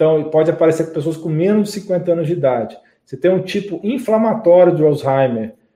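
A high-pitched man's dark, mellow tone, with lively intonation at a fairly quick pace. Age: 40s. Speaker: medical doctor. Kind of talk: live stream health talk with viewer Q&A. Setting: live broadcast on YouTube and Facebook. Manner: conversational, frequent tag 'tá?'.

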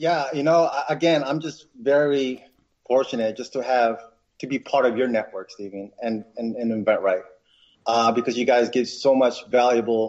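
A man speaks in an ordinary speaking voice at a medium pitch and a moderate pace. His pitch varies in an ordinary way. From New York, Westchester County. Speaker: inventor entrepreneur. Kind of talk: interview.

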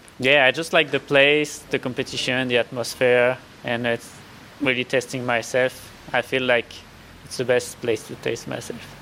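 With a French accent, a man speaks at a medium pitch and moderate pace in a monotone, flat intonation while noticeable background noise plays. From France. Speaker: ultra trail runner. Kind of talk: interview. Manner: halting.

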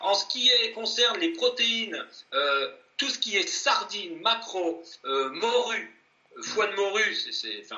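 Very slow speech with lively intonation and long, frequent pauses amid noticeable background noise. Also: man, extremely high pitch for a man. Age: 40s. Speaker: ultra-endurance athlete. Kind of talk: interview.

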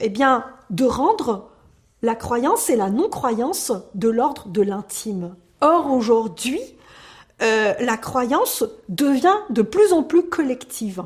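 With long, frequent pauses, a woman talks at a very slow pace in a high pitch that makes very wide swings. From Algeria. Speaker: secularism advocate. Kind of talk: interview. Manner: hesitant with fillers.

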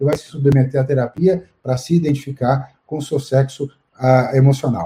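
Somewhat breathy, this man's fairly high pitch comes with a dark, mellow tone. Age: 60s. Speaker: urologist. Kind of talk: live-stream interview. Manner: halting.

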